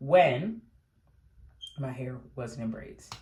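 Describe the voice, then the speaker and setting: The voice is somewhat breathy. It moves along at a fairly slow pace. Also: woman. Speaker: beauty vlogger. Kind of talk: casual talk to camera. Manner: casual, with pauses and fillers.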